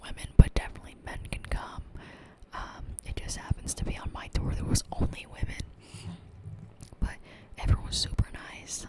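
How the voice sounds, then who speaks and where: A whisper comes through amid noticeable background noise. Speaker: ASMR content creator. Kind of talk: casual whispered ramble to camera, ASMR. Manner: whispered, soft-spoken.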